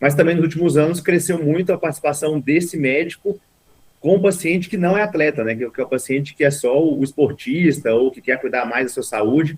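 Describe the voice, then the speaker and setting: Speaking at a fairly quick pace with a Minas Gerais accent, a man uses a fairly high pitch with ordinary pitch variation. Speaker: sports medicine doctor. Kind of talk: interview. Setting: video call.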